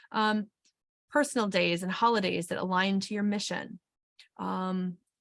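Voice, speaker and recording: A woman with an American accent speaks at a moderate pace. She has an ordinary speaking voice at a medium pitch. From Wisconsin. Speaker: HR consultant and webinar presenter. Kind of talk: webinar presentation. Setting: webinar.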